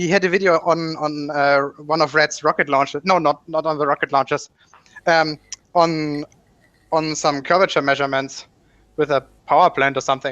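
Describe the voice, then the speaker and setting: A bright, sharp tone with a slight German accent, monotone, flat intonation and long, frequent pauses. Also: man, fairly high pitch for a man, moderate pace. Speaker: YouTuber hosting a science discussion. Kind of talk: casual chat.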